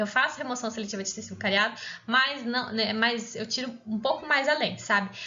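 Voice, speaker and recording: At a moderate pace and with ordinary pitch variation, the speaker is heard with audible room echo. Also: woman. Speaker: pediatric dentist teaching. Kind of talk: lecture.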